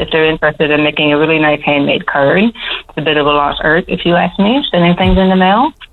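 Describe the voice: A woman talks at a fairly quick pace in a low voice, with ordinary pitch variation.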